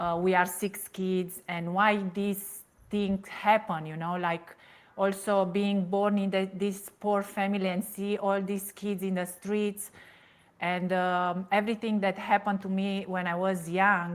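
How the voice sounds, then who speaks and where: Woman with a Romanian accent, medium pitch, flat monotone intonation and a fairly slow pace, on a very clean recording with a silent background. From Romania, Transylvania. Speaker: toxic relationship coach. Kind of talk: interview testimony. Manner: halting, many fillers.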